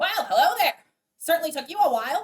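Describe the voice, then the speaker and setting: A put-on character voice races along at a very fast pace. Its pitch sits extremely high. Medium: actual play. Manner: playful, teasing.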